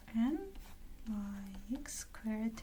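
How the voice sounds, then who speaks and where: A woman with a non-native accent speaks in a high pitch. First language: not English. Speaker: math student. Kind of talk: math lecture.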